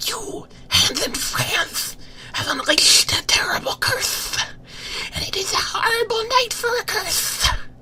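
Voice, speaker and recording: Someone whispers in a put-on character voice at a fairly slow pace, with clear background noise behind. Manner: menacing, thunderous.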